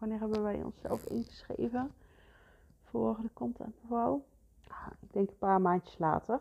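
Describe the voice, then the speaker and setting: The woman's voice has a dark, mellow tone. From Netherlands, North Brabant. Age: 30s. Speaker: photographer and podcast host. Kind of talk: solo podcast monologue. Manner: halting, many fillers.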